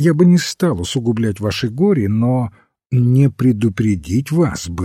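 It is plain reading aloud with lively intonation. The background is quiet.

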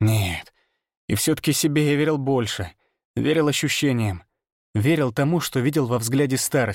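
Ordinary pitch variation marks a natural reading voice. The background is quiet.

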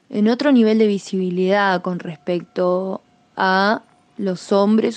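A woman speaks with an Argentine accent. Her pace is fairly slow and her intonation fairly even. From Argentina, Chubut (Patagonia). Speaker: musician. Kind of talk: interview answers. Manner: hesitant, many fillers.

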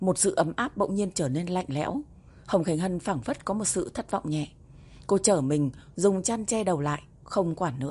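This is an unforced reading voice. It carries no other noted traits.

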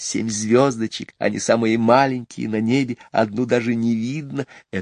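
Fairly even intonation over plain reading aloud

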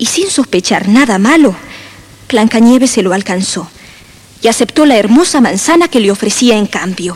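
Lively intonation over plain reading aloud

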